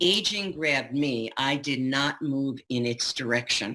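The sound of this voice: At a fairly slow pace, a woman speaks with an extremely low pitch, a bright, sharp tone and lively intonation.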